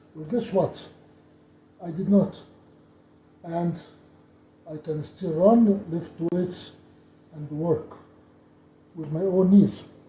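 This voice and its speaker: A man with a high voice and ordinary pitch variation speaks at a very slow pace, with big swings in loudness and long, frequent pauses. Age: 70s. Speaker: doctor and athlete. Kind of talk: tutorial. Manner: halting.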